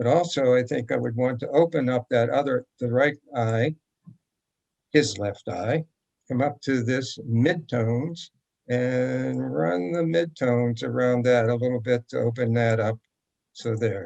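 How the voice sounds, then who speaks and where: At a fairly slow pace, a man speaks in a medium pitch with ordinary pitch variation. He has a normal speaking voice. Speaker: photography teacher. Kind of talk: tutorial.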